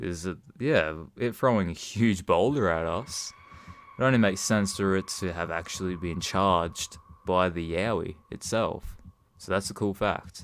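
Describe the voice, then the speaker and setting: A man with an Australian accent, very deep and low in pitch, at a moderate pace with ordinary pitch variation. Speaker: cryptid hunter vlogger. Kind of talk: casual talk to camera. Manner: halting, stuttering.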